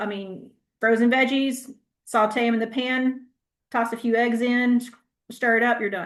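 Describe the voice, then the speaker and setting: A woman with a Southern US accent, fairly high-pitched, in a monotone, flat intonation. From US South. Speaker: health educator. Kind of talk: Q&A answer; class presentation. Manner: casual, conversational; fast.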